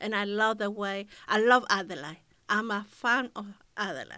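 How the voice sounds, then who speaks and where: A woman with a Spanish accent speaks in a bright, sharp tone at a fairly slow pace. The recording is very clean, with a silent background. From Chile. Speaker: community radio presenter. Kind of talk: interview.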